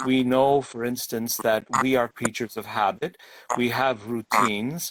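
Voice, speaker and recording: A medium-pitched male voice with fairly even intonation at a moderate pace. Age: 60s. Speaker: government minister. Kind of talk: interview. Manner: halting.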